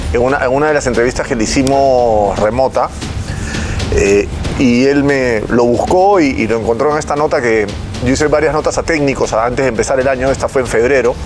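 Music plays in the background. A man speaks with very even loudness. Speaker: sports commentator, guest. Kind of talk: commentary. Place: studio.

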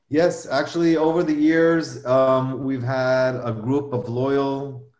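Amid audible room echo, the speech moves very slowly with fairly even intonation. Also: man. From Israel. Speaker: biotech executive. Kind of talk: business presentation.

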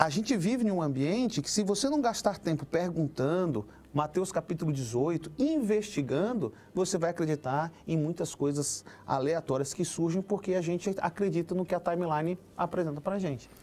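With a high pitch for a man, this male speaker has a dark, mellow tone and lively intonation. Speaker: pastor. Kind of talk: panel discussion. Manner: fast. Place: studio. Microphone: lapel.

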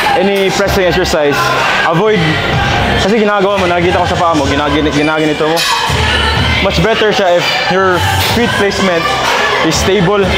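A man talking at a fairly quick pace over loud music in the background. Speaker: fitness coach. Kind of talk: tutorial. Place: gym.

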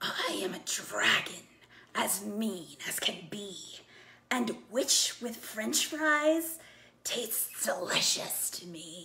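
Bellowing very slowly, a woman puts on a raspy character voice with a fairly high pitch. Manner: menacing.

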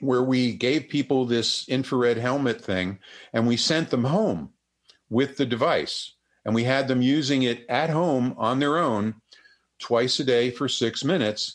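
Against a quiet background, a man uses an ordinary speaking voice at medium pitch, talking at a fairly slow pace with ordinary pitch variation and very even loudness. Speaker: psychotherapist and neurofeedback clinician. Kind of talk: interview. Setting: video call.

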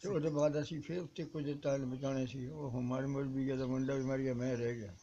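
A man speaks with a dark, mellow tone and fairly even intonation over light background noise. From Punjab, Jalandhar district; Punjab. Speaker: partition survivor. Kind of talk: oral history interview. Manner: halting. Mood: sombre recollection. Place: street. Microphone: phone near.

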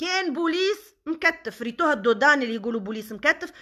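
In a Tunisian accent, a raised, projected voice with a bright, sharp tone and lively intonation moves at a moderate pace over a quiet background. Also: woman. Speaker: social media personality; social media commentator. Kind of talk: live stream monologue. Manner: animated. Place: home room. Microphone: phone near.

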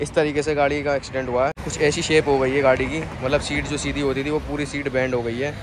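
Against noticeable background noise, a man talks at a very fast pace in a flat monotone, his voice dry with no echo. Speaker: motovlogger. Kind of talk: casual vlog chat. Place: street. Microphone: phone near.

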